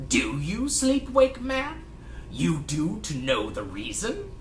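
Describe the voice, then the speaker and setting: A man puts on a high-pitched character voice, speaking at a fairly slow pace over clear background noise. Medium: read story. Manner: clipped one-syllable broken speech; menacing.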